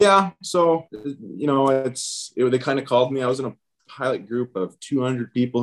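This man has an American accent and a medium pitch. He speaks at a moderate pace with lively intonation. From US Pacific Northwest, Seattle. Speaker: airline pilot. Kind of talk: interview. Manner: hesitant, many fillers.

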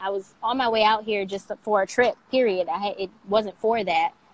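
A woman speaks in a normal speaking voice with an American accent at a fairly high pitch. She talks fairly quickly, with fairly even intonation. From Michigan, US. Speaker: skincare entrepreneur. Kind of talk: interview conversation. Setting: social media live video.

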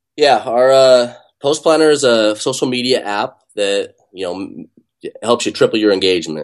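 A man with an American accent at a moderate pace, over a quiet background. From US West (Utah). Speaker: software company founder. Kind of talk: interview. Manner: hesitant, many fillers and restarts.

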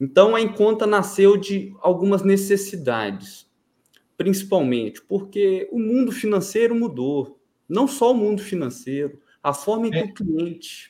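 This man has a high pitch, a dark, mellow tone and lively intonation, and he talks at a fairly slow pace. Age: 20s. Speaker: fintech founder. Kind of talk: interview. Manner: formal.

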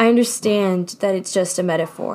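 Medium pitch and ordinary variation in a woman's voice. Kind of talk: spoken word poem, confessional heartbreak piece. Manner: intimate, heartfelt, building from wry resignation to raw, pleading emotion; halting, repeating phrases as if fighting tears.

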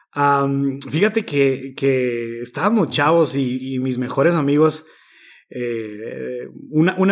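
Heard on a very clean recording with a silent background, a man speaks with lively intonation. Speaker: social aid organizer and teacher trainer. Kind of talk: casual interview.

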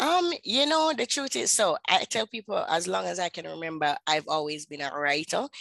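A woman in a Jamaican accent, speaking with hardly any pauses, in a dry, close sound with no echo and a quiet background. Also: moderate pace. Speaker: author and publisher. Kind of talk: interview.

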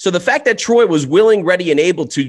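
On a very clean recording with a silent background, a man speaks at a high pitch. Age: 20s. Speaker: sports betting podcast co-host. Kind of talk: casual chat.

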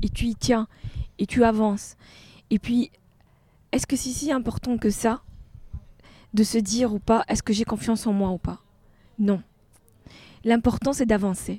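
Speaking at a fairly slow pace with long, frequent pauses, a woman uses a fairly high, somewhat breathy voice with a dark, mellow tone and fairly even intonation. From Tunisia. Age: 40s. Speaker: art gallery founder, former engineer. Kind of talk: casual interview.

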